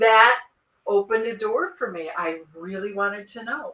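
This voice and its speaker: With lively intonation and big swings in loudness, a woman with a fairly high voice speaks at a fairly slow pace. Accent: Midwestern American. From US Midwest, northern Illinois. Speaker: author, experiencer. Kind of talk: interview testimony.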